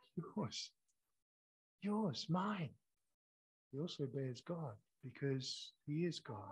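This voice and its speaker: A man with a Scottish accent speaks at a very slow pace. His intonation is lively, with long, frequent pauses. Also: fairly high pitch for a man. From Scotland. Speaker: pastor. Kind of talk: sermon.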